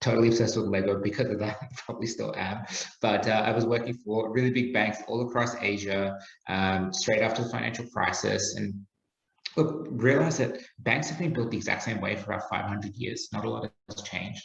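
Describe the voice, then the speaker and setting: Ordinary pitch variation at a fairly quick pace, with audible room echo. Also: man, medium pitch for a man. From Australia. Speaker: startup founder. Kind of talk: podcast interview.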